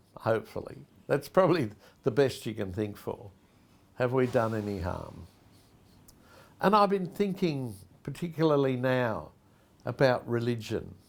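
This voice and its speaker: On a very clean recording with a silent background, a man with an Australian accent speaks at a moderate pace and medium pitch, his pitch swinging very widely, with long, frequent pauses. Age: 70s. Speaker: pastor and charity founder. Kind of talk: reflective personal address. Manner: conversational.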